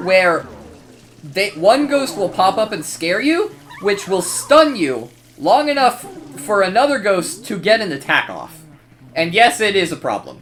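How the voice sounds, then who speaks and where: Against noticeable background noise, a man with a high pitch speaks at a fairly slow pace, his voice moving in very wide pitch swings. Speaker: gaming youtuber. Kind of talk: gameplay commentary. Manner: casual, filler-heavy.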